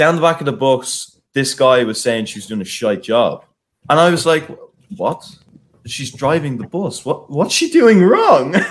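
Lively intonation and big swings in loudness mark a man's fairly high voice. His pace is fairly slow. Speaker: student podcast co-host. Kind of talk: casual chat. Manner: animated.

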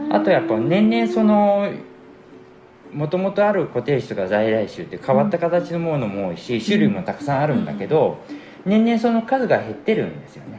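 A man speaks at a fairly high pitch with very wide pitch swings. His loudness swings greatly as well. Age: 50s. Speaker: seed specialist and former cook. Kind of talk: casual chat.

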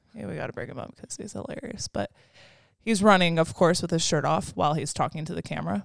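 A woman with a fairly low pitch and vocal fry speaks very fast. Her pitch swings very widely and her loudness shifts a lot. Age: 20s. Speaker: podcast co-host. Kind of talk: casual chat.

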